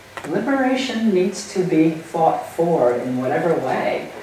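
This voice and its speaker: The woman's very deep, low pitch moves in very wide swings. Strong room echo and light background noise surround her voice. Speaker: human rights ethicist and lecturer. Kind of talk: lecture. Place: meeting room. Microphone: camera far.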